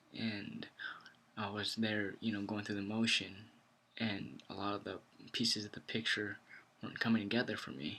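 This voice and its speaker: Quiet and fairly low in pitch, a man speaks in a bright, sharp tone at a moderate pace, with fairly even intonation and long, frequent pauses. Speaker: ICU nurse vlogger. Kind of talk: casual vlog talk. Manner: quiet, kept low.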